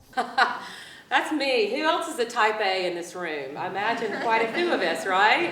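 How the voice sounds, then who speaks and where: Woman's fairly high voice in an American accent, with very wide pitch swings, a fairly slow pace, hardly any pauses and noticeable background noise. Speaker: chef, cookbook author and motivational speaker. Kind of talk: motivational keynote speech. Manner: upbeat, animated, storytelling.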